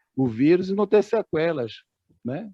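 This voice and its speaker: Pitched high, a man's voice makes very wide pitch swings at a moderate pace. The sound is dry and close with no echo, over a quiet background. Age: 60s. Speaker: bank employee and activist. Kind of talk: meeting discussion contribution. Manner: halting.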